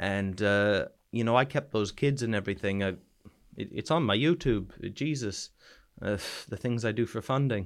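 A man with a Canadian East Coast accent speaks at a moderate pace and medium pitch, with ordinary pitch variation and long, frequent pauses, on a very clean recording with a silent background. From New Brunswick, Canada. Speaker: soldier back from Ukraine. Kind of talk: casual interview, telling war stories. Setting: studio, in-person interview in Bournemouth.

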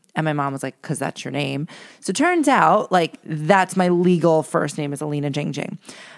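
Animated in tone, a woman with a New York accent speaks in a very deep, low voice at a moderate pace with ordinary pitch variation. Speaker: podcast co-host. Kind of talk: casual chat.

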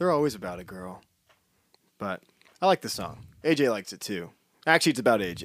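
A man with an American accent talks at a fairly quick pace, yet leaves long, frequent pauses. His fairly low voice shows very wide pitch swings and big swings in loudness. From Poconos, Pennsylvania. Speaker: musician. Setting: studio.

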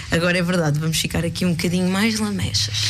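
A woman talks with a fairly low pitch. There is noticeable background noise. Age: 20s. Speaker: guest radio presenter. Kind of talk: radio music show chat. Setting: radio studio.

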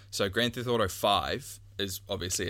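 A man with a New Zealand accent has a bright, sharp tone with vocal fry and ordinary pitch variation. The recording is very clean, with a silent background. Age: 20s. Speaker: podcast co-host. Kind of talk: casual chat. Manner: halting, many fillers.

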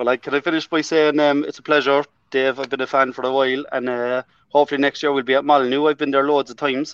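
A man with a strong Irish accent, very fast pace, fairly high pitch, monotone, flat intonation and a dry, close sound with no echo. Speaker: football fan. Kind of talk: casual chat.

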